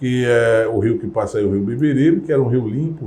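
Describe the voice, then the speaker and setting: Talking at a moderate pace, this man has an unremarkable speaking voice whose pitch variation is ordinary. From Brazil, Recife (Pernambuco). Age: 60s. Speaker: community elder. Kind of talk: interview testimony.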